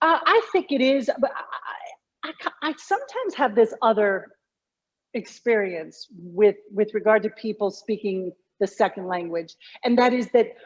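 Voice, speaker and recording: At a fairly slow pace, a woman speaks with very wide pitch swings. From Connecticut. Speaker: communication coach. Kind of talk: interview.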